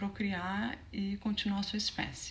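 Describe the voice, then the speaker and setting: A soft-spoken woman talks at a moderate pace. There is audible room echo and noticeable background noise. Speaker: mind coach. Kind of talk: online teaching talk. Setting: home.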